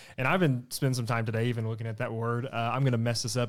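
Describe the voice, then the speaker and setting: On a very clean recording with a silent background, a man with a Southern US accent talks at a medium pitch. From East Arkansas (Blytheville). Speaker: student ministry leader. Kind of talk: casual Bible study discussion.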